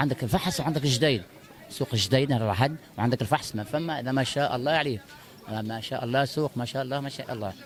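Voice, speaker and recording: A man with a medium-pitched voice talks at a very fast pace, with ordinary pitch variation. Noticeable background noise runs underneath. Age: 60s. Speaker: market shopper interviewed. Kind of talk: street interview.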